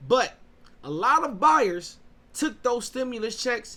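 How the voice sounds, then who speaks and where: The voice is raised and projected. It belongs to a man with a bright, sharp tone. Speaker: real estate agent and show host. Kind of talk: solo talk show monologue. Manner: casual with fillers and restarts.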